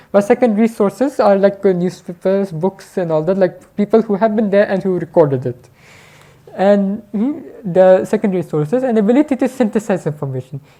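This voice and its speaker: Using lively intonation, a woman with a non-native accent talks at a fairly quick pace and a medium pitch. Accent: foreign. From Pakistan. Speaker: speaker at a public talk. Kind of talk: lecture. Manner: halting, many fillers and restarts.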